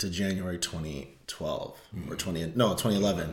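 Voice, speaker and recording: In a General American accent, a man's very deep, low voice comes through with audible room echo. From Colorado (Denver area). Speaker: podcast co-host. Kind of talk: casual chat.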